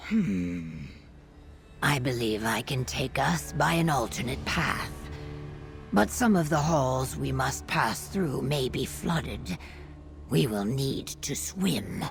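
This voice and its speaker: A low, put-on character voice moves at a fairly slow pace, with very wide pitch swings and long, frequent pauses. Clear music plays in the background. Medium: video game. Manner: formal, no contractions.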